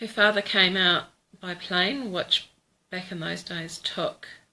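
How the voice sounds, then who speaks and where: A woman in a New Zealand accent, with ordinary pitch variation. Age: 40s. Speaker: vlogger. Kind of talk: casual chat. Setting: Facebook live video. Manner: hesitant, many fillers.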